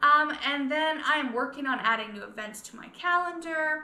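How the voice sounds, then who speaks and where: A raised, projected voice with lively intonation moves at a moderate pace amid audible room echo. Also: woman. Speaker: scrapbooking consultant and video creator. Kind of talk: casual tutorial vlog. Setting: living room at home.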